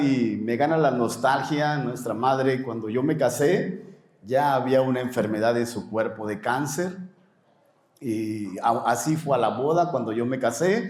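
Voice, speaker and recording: A man at a moderate pace with lively intonation, plus audible room echo. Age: 60s. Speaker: pastor. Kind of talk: interview.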